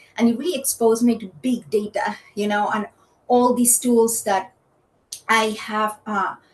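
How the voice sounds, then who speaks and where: A woman talks at a fairly slow pace. Her pitch is fairly high and her voice somewhat breathy. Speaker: economist and data science leader. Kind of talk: podcast interview. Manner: animated.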